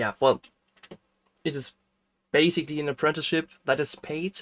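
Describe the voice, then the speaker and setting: This voice carries a German accent. Its speed is middling. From Germany. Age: 20s. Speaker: game developer streamer. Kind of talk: casual chat. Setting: live stream. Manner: halting.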